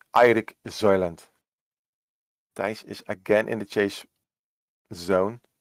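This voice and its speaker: In a Dutch accent, a man speaks slowly at a fairly low pitch. The intonation stays fairly even, and the sound is dry and close with no echo. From Netherlands. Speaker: esports cycling commentator. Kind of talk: live commentary. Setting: home work room.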